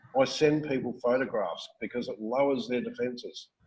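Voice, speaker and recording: A man speaks with an Australian accent at a fairly high pitch, with ordinary pitch variation. His pace is moderate, and the background is quiet. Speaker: network marketing recruiter and trainer; trainer. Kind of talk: training talk on a call. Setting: phone call. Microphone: webcam.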